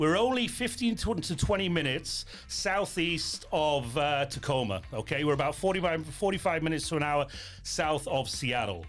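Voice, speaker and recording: With a British accent, a man speaks at a moderate pace and a fairly high pitch, his intonation lively and his loudness very even. Music sits in the background. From United Kingdom. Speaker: real estate broker. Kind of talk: casual chat. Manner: animated.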